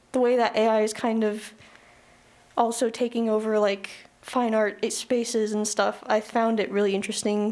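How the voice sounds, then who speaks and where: A woman speaks in a fairly high, monotone voice with flat intonation and very even loudness. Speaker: college student. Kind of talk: audience comment at symposium.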